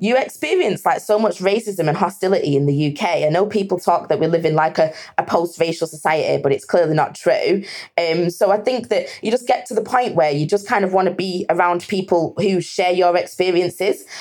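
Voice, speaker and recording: A woman's medium-pitched voice with lively intonation and very even loudness, at a fairly quick pace, over noticeable background noise. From northern England, Lancashire near Manchester. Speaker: hiking group founder. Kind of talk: casual interview chat.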